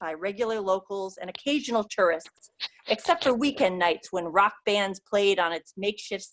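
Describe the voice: Plain reading aloud, with ordinary pitch variation, is heard against a quiet background.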